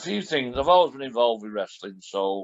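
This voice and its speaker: The speaker is a man. He has a Lancashire accent. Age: 60s. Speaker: retired professional wrestler. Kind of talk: podcast interview.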